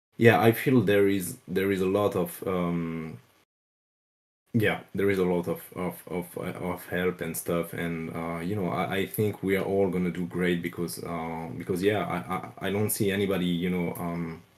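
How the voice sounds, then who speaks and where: A man with a French accent and a very deep, low pitch, at a moderate pace with fairly even intonation. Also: very clean recording, silent background. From France. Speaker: crypto project developer. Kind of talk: casual interview. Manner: halting, many fillers.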